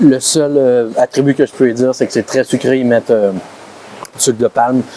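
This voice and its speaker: A man at medium pitch in a Quebec accent, fairly slow and fairly even in intonation, with a dry, close sound with no echo and noticeable background noise. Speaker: food vlogger. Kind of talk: casual vlog. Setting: restaurant. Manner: halting, stammering.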